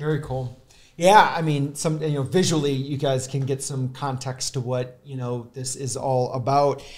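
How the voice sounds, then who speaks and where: A man with an American accent talks at a moderate pace in a fairly high pitch. His voice is somewhat breathy, and his intonation is fairly even. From US Midwest. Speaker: podcast host. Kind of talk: casual interview. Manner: halting, many fillers. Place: studio. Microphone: studio mic.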